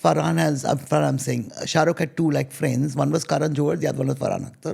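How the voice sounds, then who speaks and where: A woman speaks with a very deep, low pitch and ordinary pitch variation. Her tone is dark and mellow, with vocal fry. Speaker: screenwriter. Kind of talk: casual interview storytelling. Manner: fast.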